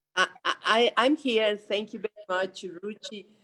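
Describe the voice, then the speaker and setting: Speaking at a very slow pace, a woman talks with a Mexican accent. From Mexico. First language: Spanish. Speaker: government official. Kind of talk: panel talk. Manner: halting.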